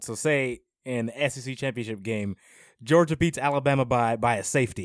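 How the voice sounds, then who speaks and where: In a very clean recording with a silent background, a man with a normal speaking voice talks at a fairly quick pace, using a medium pitch and ordinary pitch variation. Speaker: podcast co-host.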